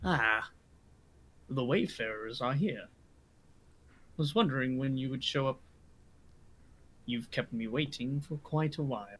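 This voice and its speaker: Using a booming, put-on character voice, a man speaks at a medium pitch with ordinary pitch variation. He keeps a moderate pace, with long, frequent pauses. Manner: mysterious, slightly reproachful.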